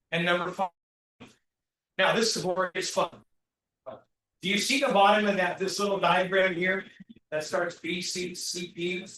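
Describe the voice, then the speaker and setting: A raised, projected voice with a bright, sharp tone, moderate pace and long, frequent pauses. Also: man, high pitch for a man. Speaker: business workshop speaker. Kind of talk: interactive workshop talk. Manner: animated.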